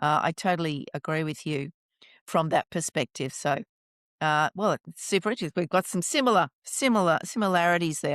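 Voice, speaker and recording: In a very clean recording with a silent background and a dry, close sound with no echo, a woman with an ordinary speaking voice and fairly low pitch talks at a fairly quick pace with lively intonation. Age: 60s. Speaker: podcast host. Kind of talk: interview.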